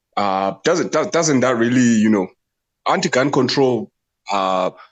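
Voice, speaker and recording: Against a quiet background, a man with a non-native accent speaks at a fairly slow pace. His loudness is very even while his pitch swings very widely. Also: medium pitch for a man. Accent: foreign, noticeable. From outside the US. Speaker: livestream participant. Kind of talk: casual debate. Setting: TikTok livestream. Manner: halting, many repetitions.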